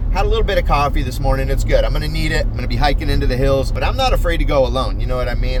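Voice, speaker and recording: With an animated tone, a man talks at a very fast pace over noticeable background noise and audible room echo. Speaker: mushroom foraging educator and video host. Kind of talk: casual vlog narration.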